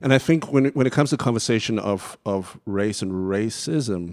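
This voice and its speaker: In a very clean recording with a silent background, a man with a Southern African accent talks at a fairly slow pace and fairly low pitch, with ordinary pitch variation. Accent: British-sounding Southern African. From Zimbabwe. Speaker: church music director. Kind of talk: panel discussion.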